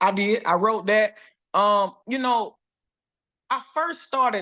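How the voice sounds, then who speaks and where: In a Southern US accent, a woman speaks at a fairly slow pace. The background is quiet. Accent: Southern US (Georgia). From US South, rural Dooly County, Georgia. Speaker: soul singer. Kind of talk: podcast interview. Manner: halting, many repeats and fillers.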